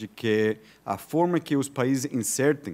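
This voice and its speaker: The recording is very clean, and the background is silent. A man speaks with lively intonation. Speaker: visiting professor. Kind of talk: lecture. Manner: halting, many fillers and repetitions.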